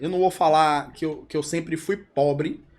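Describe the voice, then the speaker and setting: On a very clean recording with a silent background, a man with an unremarkable speaking voice speaks at a moderate pace and fairly high pitch with ordinary pitch variation. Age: 40s. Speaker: entrepreneur, company co-founder. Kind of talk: podcast interview. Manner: casual, conversational.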